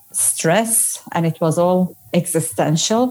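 Speaking in a Turkish accent, a woman with a dark, mellow tone talks at a very slow pace. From Turkey. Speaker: social scientist and burnout coach. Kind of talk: interview conversation. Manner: halting, many fillers.

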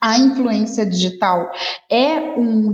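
Very slow, lively speech from a woman with a fairly high pitch, over noticeable background noise. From Rio de Janeiro, Brazil. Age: 40s. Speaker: advertising professional and social media specialist. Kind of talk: podcast interview.

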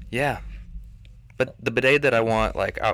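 A man speaks at medium pitch. The recording is very clean, with a silent background. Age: 20s. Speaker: podcast co-host. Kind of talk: casual chat.

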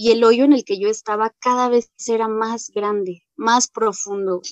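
At a moderate pace, a woman talks in an unremarkable speaking voice, fairly high in pitch, with a dry, close sound and no echo. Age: 20s. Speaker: AA member. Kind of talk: testimony.

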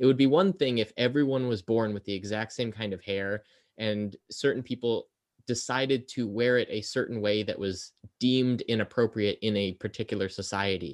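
A man talks at a moderate pace with medium pitch and ordinary pitch variation, in an unremarkable speaking voice. The sound is dry and close, with no echo. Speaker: podcast host. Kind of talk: casual chat.

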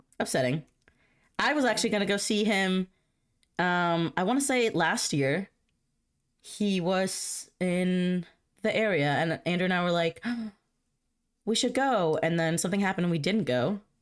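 A woman at a medium pitch speaks at a moderate pace with lively intonation and very even loudness. She leaves long, frequent pauses, and the recording is very clean with a silent background. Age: 20s. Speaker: podcast host. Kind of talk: casual chat. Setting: home. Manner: animated.

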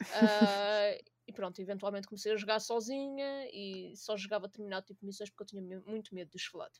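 A woman with an unremarkable speaking voice talks at a fairly quick pace and medium pitch, with hardly any pauses, fairly even intonation and big swings in loudness. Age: 20s. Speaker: gaming community organizer. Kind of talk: casual chat.

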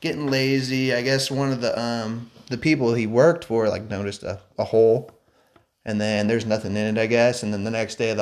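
A man with an ordinary speaking voice, medium in pitch with ordinary variation, at a fairly quick pace. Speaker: podcast co-host. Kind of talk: casual chat.

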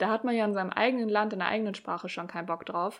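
This woman has a plain, everyday voice. Her pitch is fairly high and varies in an ordinary way. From Germany, Hamburg. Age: 30s. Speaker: podcast host, blogger. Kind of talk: solo podcast monologue.

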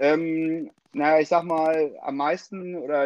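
A man is speaking. His pitch is fairly high. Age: 30s. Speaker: plumbing and heating master craftsman. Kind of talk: interview. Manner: hesitant, many filler sounds.

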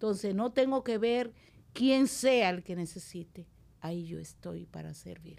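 A woman at a fairly slow pace, her pitch swinging very widely, on a very clean recording with a silent background. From Dominican Republic, La Vega countryside. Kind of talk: interview conversation.

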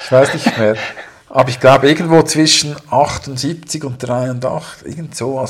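A man has a normal speaking voice. His pace is moderate. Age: 40s. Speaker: podcast co-host. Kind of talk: casual chat.

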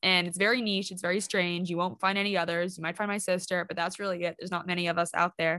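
Talking very fast with hardly any pauses, a woman uses a bright, sharp tone at a fairly low pitch over a quiet background. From Hong Kong (expat, Canadian parents). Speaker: podcast co-host. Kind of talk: casual chat. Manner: animated.

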